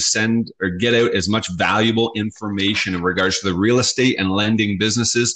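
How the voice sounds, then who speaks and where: A plain, everyday voice with a Canadian accent. It moves at a moderate pace with fairly even intonation. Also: man. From Southern Ontario, Canada. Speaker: podcast host. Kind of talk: casual chat. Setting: remote recording, speakers apart.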